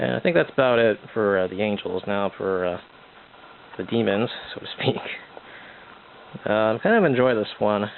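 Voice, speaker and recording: Mumbling at a moderate pace with long, frequent pauses, the speaker shows ordinary pitch variation. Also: man, fairly low pitch for a man. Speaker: amateur artist showing sketchbook. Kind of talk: casual art update monologue. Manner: hesitant, many fillers.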